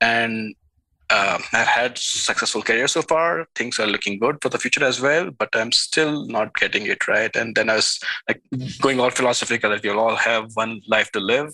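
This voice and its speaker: Heard dry and close with no echo, a man with a bright, sharp tone speaks at a medium pitch and moderate pace with ordinary pitch variation. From India. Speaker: tech product manager and author. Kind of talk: interview conversation.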